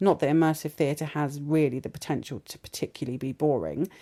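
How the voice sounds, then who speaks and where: In a British accent, a woman with a very deep, low voice speaks at a moderate pace with ordinary pitch variation, in a very clean, dry, close recording with no echo and a silent background. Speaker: academic podcast host. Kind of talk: interview. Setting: theatre venue.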